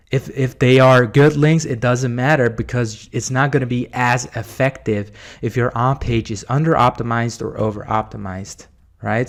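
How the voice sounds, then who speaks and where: With a plain, everyday voice, a man talks at medium pitch and a moderate pace with ordinary pitch variation, on a very clean recording with a silent background. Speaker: SEO marketer, video host. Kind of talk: screen-share tutorial. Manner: casual, with fillers.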